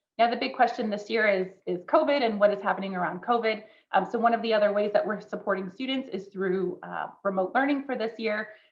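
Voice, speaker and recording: Pitched fairly high, a woman talks at a very fast pace with hardly any pauses and ordinary pitch variation. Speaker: university recruitment officer. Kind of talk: informational webinar presentation.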